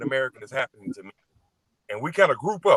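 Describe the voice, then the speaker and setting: A man speaks in a Southern US accent with a fairly high pitch. The sound is dry and close, with no echo. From Mississippi, US South. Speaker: guest in online discussion. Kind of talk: live stream discussion.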